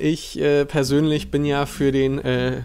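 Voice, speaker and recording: With faint music in the background, a man speaks. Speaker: streamer. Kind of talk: casual live-stream commentary. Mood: relaxed, joking. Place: home room. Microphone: earbuds.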